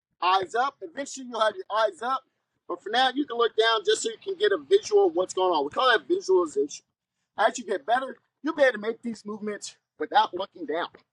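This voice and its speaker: Very loud and extremely high-pitched, a man talks at a very fast pace with very wide pitch swings in a dry, close sound with no echo. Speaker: basketball coach. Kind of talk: tutorial. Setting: outdoors.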